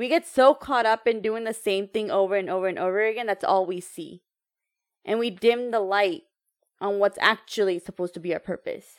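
A woman's plain, everyday voice in an American accent, medium in pitch and fairly quick, with a dry, close sound with no echo and a very clean recording with a silent background. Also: ordinary pitch variation. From United States, Indian heritage. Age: 30s. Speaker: entrepreneur and empowerment coach. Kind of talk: casual interview chat.

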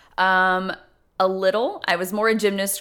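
A woman with a Tennessee accent speaks at a moderate pace and fairly low pitch. Her tone is bright and sharp in a very clean recording with a silent background. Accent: Southern US (Tennessee). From US South, Memphis, Tennessee. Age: 30s. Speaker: former college cheerleading coach. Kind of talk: interview.

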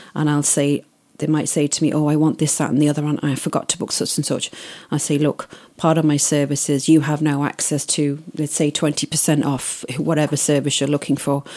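A woman with a very deep, low pitch and a dark, mellow tone, in monotone, flat intonation at a fairly quick pace. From Isle of Man. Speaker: wedding planner. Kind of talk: interview.

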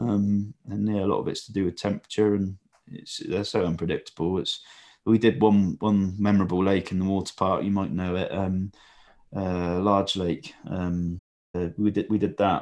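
Against a quiet background, a man with a fairly low pitch talks at a moderate pace in a monotone, flat intonation. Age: 20s. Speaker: carp feed company owner and fish breeder. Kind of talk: casual chat.

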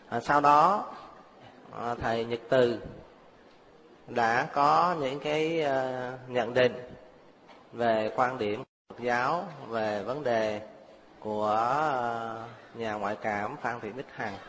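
A man speaks very slowly at a medium pitch, with ordinary pitch variation. Long pauses come often. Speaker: Buddhist monk. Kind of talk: closing remarks. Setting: stage with audience.

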